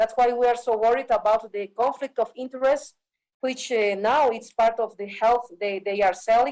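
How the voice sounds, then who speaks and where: With an Andean accent, a woman talks at a moderate pace in a fairly high voice with ordinary pitch variation. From Bolivia. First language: Quechua. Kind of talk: panel talk.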